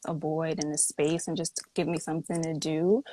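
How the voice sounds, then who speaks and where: With an American accent and a normal speaking voice, a woman talks at a fairly quick pace and a fairly low pitch, in a dry, close sound with no echo. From New York City, Brooklyn (Flatbush). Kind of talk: interview. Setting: Instagram live video stream.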